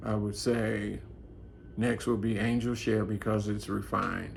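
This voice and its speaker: A man talks at a fairly slow pace. Audible room echo is present. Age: 60s. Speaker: fragrance reviewer. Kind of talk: product review monologue. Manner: halting, many fillers.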